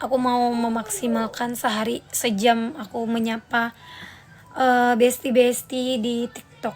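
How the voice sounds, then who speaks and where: A woman speaks with a high pitch and fairly even intonation. Her pace is very slow. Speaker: singer and live streamer. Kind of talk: casual live stream chat.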